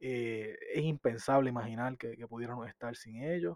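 Dry and close with no echo, this man has a normal speaking voice at medium pitch, ordinary pitch variation and a moderate pace. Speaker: podcast co-host. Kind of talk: interview.

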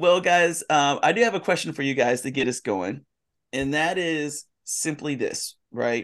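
Against a quiet background, a man in a plain, everyday voice speaks at a fairly slow pace. His pitch is fairly high and his intonation lively. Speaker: pastor. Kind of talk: casual chat.

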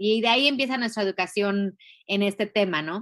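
A woman's plain, everyday voice at a medium pitch with ordinary pitch variation, dry and close with no echo, on a very clean recording with a silent background. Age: 40s. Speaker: feminist educator and activist. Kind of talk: interview.

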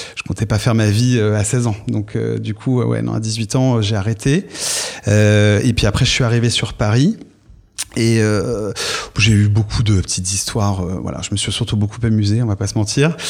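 A man talks in an ordinary speaking voice at a fairly low pitch. His pace is moderate and his intonation fairly even. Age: 30s. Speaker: podcast guest, fashion retail worker. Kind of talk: casual interview about personal love life. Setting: studio.

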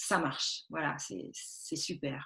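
A somewhat breathy woman's voice on a very clean recording with a silent background. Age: 40s. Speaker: textile artist. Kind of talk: interview. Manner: halting.

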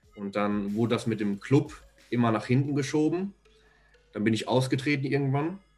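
A man at a moderate pace and medium pitch with ordinary pitch variation, long, frequent pauses and music in the background. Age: 20s. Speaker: videographer. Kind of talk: casual interview chat.

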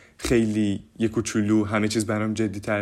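There is noticeable background noise as a man speaks at a medium pitch and a moderate pace. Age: young. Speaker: youth podcaster and theatre actor. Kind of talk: casual monologue.

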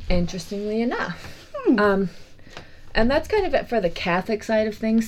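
Her pitch is fairly high, and this woman keeps a moderate pace. Noticeable background noise runs underneath. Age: 20s. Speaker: podcast co-host. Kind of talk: casual chat. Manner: animated.

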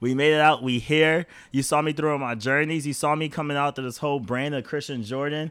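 A man with a New York accent talks at a fairly quick pace. His pitch is fairly high and his tone animated. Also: very clean recording, silent background. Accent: New York urban. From New York, Rochester. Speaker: podcast host. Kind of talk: casual chat. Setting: home.

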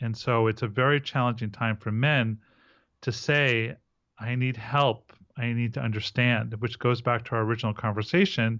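A man talks at a moderate pace in a medium pitch. He has an unremarkable speaking voice with fairly even intonation. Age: 40s. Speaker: men's relationship coach. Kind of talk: interview.

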